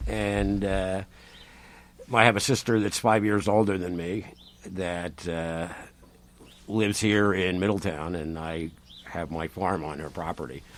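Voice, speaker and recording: A man's very deep, low voice with an American accent, at a fairly slow pace with long, frequent pauses. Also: ordinary pitch variation. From Rhode Island, US. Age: 60s. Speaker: farmer. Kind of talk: casual interview chat.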